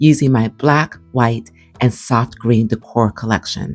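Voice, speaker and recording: With music in the background, a woman speaks at a fairly slow pace and ordinary pitch variation. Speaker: home decor vlogger. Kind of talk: voiceover narration. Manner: calm.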